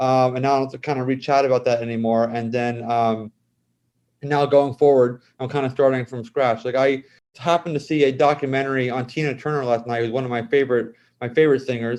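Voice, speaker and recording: The speaker talks at a very fast pace in an American accent. The intonation is monotone and flat. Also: man, medium pitch for a man. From South Jersey, US. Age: 40s. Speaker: cosmetic chemist and author. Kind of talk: interview. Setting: podcast. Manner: halting, repetitive restarts.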